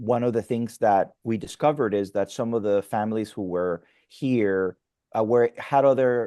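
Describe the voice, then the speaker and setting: A man's medium-pitched voice with a Spanish accent, dark and mellow in tone, at a moderate pace with fairly even intonation, dry and close with no echo, over a quiet background. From Mexico. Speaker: pastor. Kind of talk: interview conversation. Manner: halting, frequent fillers and restarts.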